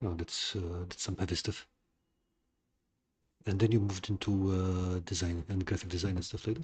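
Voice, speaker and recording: Over a quiet background, a man with a very deep, low pitch and a somewhat breathy voice speaks at a moderate pace in a monotone, flat intonation, with long, frequent pauses. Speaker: livestream host, crafter. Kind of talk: casual livestream talk.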